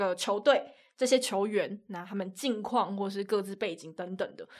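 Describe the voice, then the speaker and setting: A woman speaks in a Taiwanese accent at medium pitch and a moderate pace, with fairly even intonation. The recording is very clean, with a silent background. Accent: Taiwanese Mandarin. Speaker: sports commentator. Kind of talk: casual chat.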